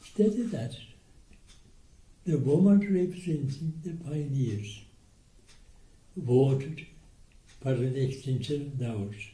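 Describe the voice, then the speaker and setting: In an Irish accent, a man talks very slowly with long, frequent pauses, his pitch fairly high and his intonation lively. His tone is dark and mellow, and somewhat breathy. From Ireland. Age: 80s+. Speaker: war veteran. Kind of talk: interview answer.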